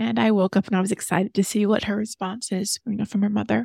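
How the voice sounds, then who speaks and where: A woman with an ordinary speaking voice talks at a fairly high pitch and fairly quick pace, recorded very cleanly against a silent background with a dry, close sound and no echo. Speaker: actress. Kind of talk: interview conversation.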